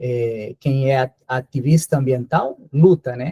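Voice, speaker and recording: A man with a Spanish accent speaks very slowly in a dark, mellow, somewhat breathy tone. His pitch is fairly high, and the sound is dry and close with no echo. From Colombia. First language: Spanish (speaking Portuguese). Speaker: visiting professor, geneticist. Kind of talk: lecture. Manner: hesitant, many fillers.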